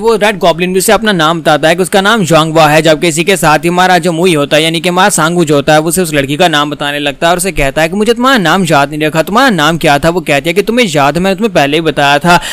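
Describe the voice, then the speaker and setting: Over background music, a man with a high-pitched voice speaks with hardly any pauses. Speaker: comic explainer. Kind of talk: comic recap narration. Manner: casual, chatty.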